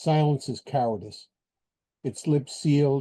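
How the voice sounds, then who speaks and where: Over a quiet background, a man with a dark, mellow tone and a somewhat breathy voice talks at a fairly slow pace. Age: 70s. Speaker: poet. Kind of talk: poetry reading. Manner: halting.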